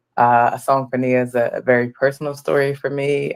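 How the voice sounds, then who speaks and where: With a Philadelphia accent, a woman speaks at a moderate pace in a very deep, low pitch and a monotone, flat intonation. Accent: Philadelphia American English. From Philadelphia, US. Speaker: writer and producer. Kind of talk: interview.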